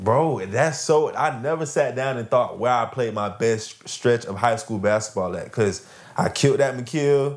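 At a moderate pace and with hardly any pauses, a man with an American accent talks at a medium pitch with ordinary pitch variation over a quiet background. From Lakeland, Florida. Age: 20s. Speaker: professional basketball player. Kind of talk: casual chat. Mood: relaxed, reflective. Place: home room.

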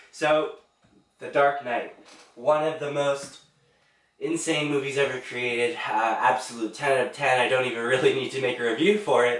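Through audible room echo, a man with a fairly high pitch speaks at a moderate pace with fairly even intonation. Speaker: movie reviewer. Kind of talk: casual movie review monologue.

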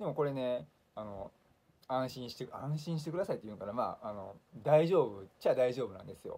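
At a fairly quick pace, a man talks with a dark, mellow tone, lively intonation and big swings in loudness. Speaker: leukemia patient YouTuber. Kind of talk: monologue video blog, casual. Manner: friendly, explanatory, fillers. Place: home room. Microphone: phone near.

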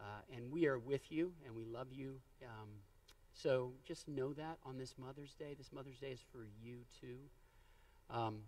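Fairly even in intonation, a man speaks at a moderate pace. He leaves long, frequent pauses. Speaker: pastor. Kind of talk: sermon. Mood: warm, lightly humorous. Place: church.

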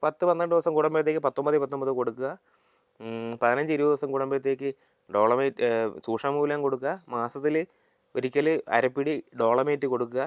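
This man has a normal speaking voice, fairly high in pitch, with fairly even intonation and very even loudness. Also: dry, close sound with no echo. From Kerala, Thiruvananthapuram district. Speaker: agricultural officer answering farmers' questions. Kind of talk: Q&A tutorial.

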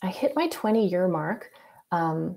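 A woman speaks at medium pitch. Her tone is dark and mellow. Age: 40s. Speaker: user experience architect; presenter. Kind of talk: presentation. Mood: reflective personal story. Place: home room. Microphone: webcam.

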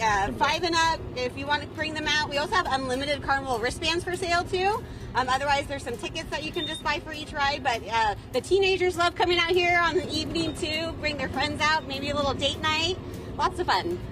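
With a high pitch and ordinary pitch variation, a woman speaks at a fairly quick pace in a dry sound with no echo, over noticeable background noise. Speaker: guest. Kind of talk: interview answer. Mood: cheerful, upbeat. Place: market.

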